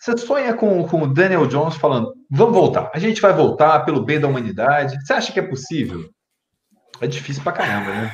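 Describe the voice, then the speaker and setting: Through audible room echo, a man with a somewhat breathy, fairly high voice moves at a fairly quick pace with very wide pitch swings. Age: 30s. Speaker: YouTube channel host. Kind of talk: live stream chat.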